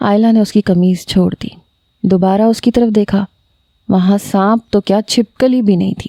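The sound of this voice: Read in an unforced voice with fairly even intonation. The background is quiet.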